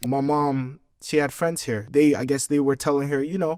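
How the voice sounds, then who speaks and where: A man speaks at a moderate pace with a dark, mellow tone. His pitch sits fairly high for a man. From Brooklyn, New York; raised in Egypt from childhood. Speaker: American expat raised in Egypt. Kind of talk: interview answer. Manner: casual, conversational.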